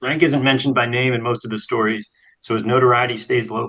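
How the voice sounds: Someone reads in a natural voice. The intonation stays fairly even over a quiet background.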